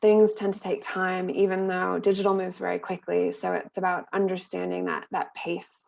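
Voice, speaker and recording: A moderate pace in a US East Coast accent, over a quiet background. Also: woman. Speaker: SEO specialist; presenter. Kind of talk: webinar presentation. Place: home room. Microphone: webcam.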